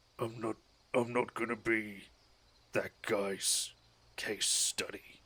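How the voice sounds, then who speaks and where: Using a put-on character voice, a man speaks at a medium pitch in a raspy, rumbling tone, with monotone, flat intonation and a fairly slow pace. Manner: grumbling.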